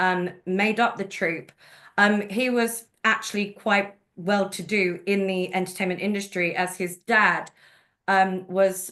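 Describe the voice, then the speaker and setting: A woman with a London accent speaks at a fairly slow pace, her pitch medium. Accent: London accent, obvious. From London, England. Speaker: genealogist and presenter. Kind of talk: webinar presentation. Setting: video call.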